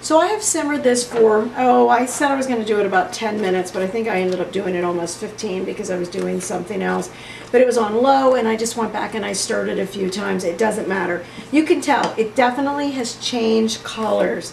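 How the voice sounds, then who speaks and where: Over noticeable background noise and audible room echo, a woman speaks at a very fast pace in a fairly high pitch with ordinary pitch variation. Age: 60s. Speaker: retired teacher, cooking channel host. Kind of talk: cooking tutorial. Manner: casual, chatty.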